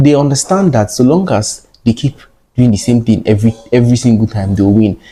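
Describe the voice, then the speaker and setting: Speaking at a fairly quick pace, a man uses a medium pitch and ordinary pitch variation, his dark, mellow tone somewhat breathy. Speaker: trading educator. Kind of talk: tutorial. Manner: fast.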